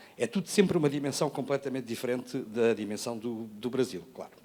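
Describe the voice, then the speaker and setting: Speaking at a fairly quick pace, a man has a medium pitch and ordinary pitch variation. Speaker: educator, former education network coordinator. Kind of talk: panel talk presentation. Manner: hesitant, with many fillers and restarts.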